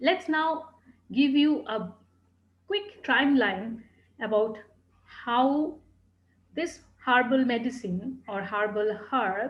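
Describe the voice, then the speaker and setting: With long, frequent pauses, a woman talks at a very slow pace in a high pitch and lively intonation. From India, Calcutta. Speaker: tea educator. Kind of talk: lecture.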